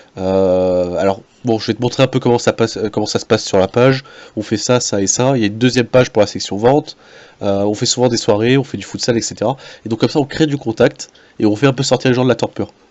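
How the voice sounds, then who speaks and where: A man of medium pitch speaks at a very fast pace. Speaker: gaming club organizer. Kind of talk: presentation. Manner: hesitant, many filler sounds.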